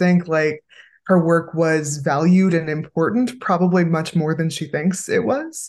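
A Californian accent at a moderate pace with ordinary pitch variation, over a quiet background. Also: woman. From Los Angeles, California. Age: 30s. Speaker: podcast co-host and writer. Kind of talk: casual chat.

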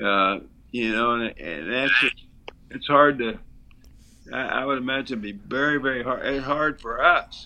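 With vocal fry and a bright, sharp tone, a man speaks at medium pitch and a moderate pace, his pitch varying in an ordinary way. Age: 70s. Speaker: basketball broadcaster. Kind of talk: casual interview. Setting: remote call.

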